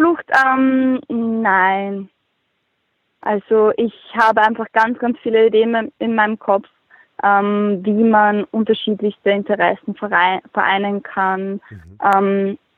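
A woman speaks very slowly in a fairly high pitch, with fairly even intonation. Long pauses come often. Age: 20s. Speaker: hobby beekeeper and blogger. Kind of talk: interview.

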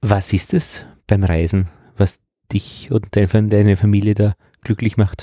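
The voice moves at a very slow pace with long, frequent pauses, a dark, mellow tone, somewhat breathy delivery, very even loudness and fairly even intonation. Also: man, fairly low pitch for a man. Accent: Upper Austrian. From Upper Austria, Braunau. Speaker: podcast host and teacher. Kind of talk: casual interview. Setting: school room.

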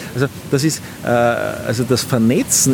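There is noticeable background noise as a man speaks in a medium-pitched voice. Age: 40s. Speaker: commercial beekeeper. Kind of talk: interview. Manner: halting, many repetitions.

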